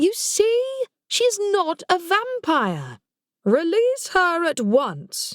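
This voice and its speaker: A woman speaks in a put-on character voice, squeaky and extremely high, very slowly and with very wide pitch swings, in a dry, close sound with no echo. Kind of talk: educated, refined speech. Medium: read story. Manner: authoritative, crisp.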